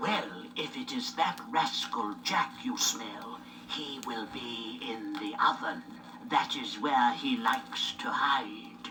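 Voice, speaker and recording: A woman's put-on character voice, very deep and low in pitch, delivered at a very slow pace. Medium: read story. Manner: brisk, scolding.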